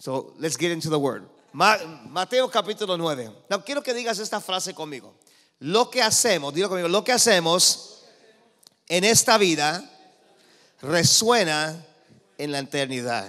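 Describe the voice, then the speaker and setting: Pitched high, a man speaks in an animated tone that is bright and sharp, with very wide pitch swings. He leaves long, frequent pauses. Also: fairly slow pace. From Los Angeles, California, of Cuban parents. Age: 50s. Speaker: preacher. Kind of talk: sermon. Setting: church with congregation. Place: church. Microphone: handheld.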